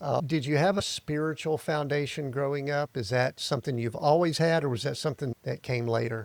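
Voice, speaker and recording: An unremarkable speaking voice from a man with an American accent, fairly high pitch and ordinary pitch variation, at a fairly quick pace with hardly any pauses, in a dry, close sound with no echo. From US South, Atlanta area. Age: 60s. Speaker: podcast host. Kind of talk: interview podcast. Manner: casual, conversational.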